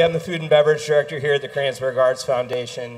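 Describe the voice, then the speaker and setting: Very fast speech from a man. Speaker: venue host making announcements. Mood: warm, welcoming. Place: stage.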